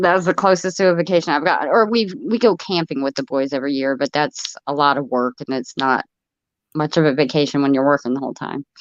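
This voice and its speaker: The speech comes at a very fast pace in an American accent. The sound is dry and close, with no echo. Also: woman, very deep, low pitch for a woman, ordinary pitch variation. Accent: slight Ohio and Florida. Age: 60s. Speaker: livestreamer. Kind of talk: casual chat. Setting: live stream.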